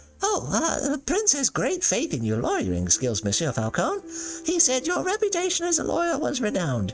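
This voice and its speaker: Over clear background music, a put-on character voice speaks at a moderate pace. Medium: solo performance. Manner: hesitant, stammering.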